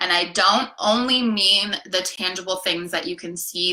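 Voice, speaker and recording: Fairly even intonation from a female speaker, with noticeable background noise behind her. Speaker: life coach. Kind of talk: live coaching session. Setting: live stream.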